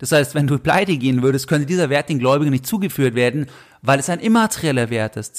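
A man's normal speaking voice, fairly high-pitched, with lively intonation at a fairly quick pace. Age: 30s. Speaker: finance podcast host. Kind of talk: solo podcast monologue.

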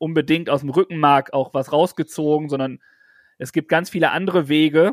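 A man with an ordinary speaking voice talks at a fairly quick pace in a fairly high pitch with ordinary pitch variation, recorded very cleanly, dry and close with no echo and a silent background. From German village. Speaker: podcast co-host. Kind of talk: casual chat.

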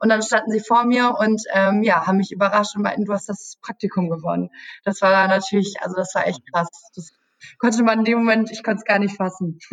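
With a medium pitch and a somewhat breathy voice, a woman talks at a fairly quick pace with fairly even intonation. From Germany, Münster area. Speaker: travel YouTuber on a sponsored trip. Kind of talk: podcast interview. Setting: office.

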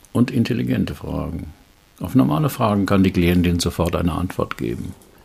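Talking at a fairly quick pace, a man with a very deep, low pitch swings his pitch very widely, with vocal fry. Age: 70s. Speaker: executive trainer and coach. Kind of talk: reading aloud a case report.

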